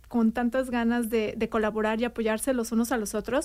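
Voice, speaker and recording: Over a silent background in a very clean recording, a woman speaks at a fairly high pitch with monotone, flat intonation. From Mexico City. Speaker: city community outreach coordinator. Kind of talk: radio interview.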